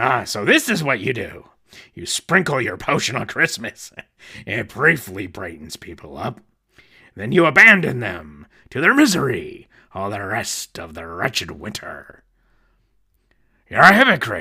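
A man talks at a moderate pace and a medium pitch, leaving long, frequent pauses. His pitch swings very widely and his loudness shifts a lot. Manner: sneering, grumpy, later earnest.

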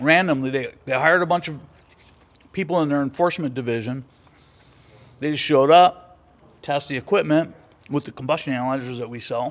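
A man with an American accent talks fairly quickly in a fairly high voice with ordinary pitch variation and long, frequent pauses. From US West Coast, Los Angeles. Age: 60s. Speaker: veteran and former diesel mechanic. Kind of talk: casual chat, podcast interview.

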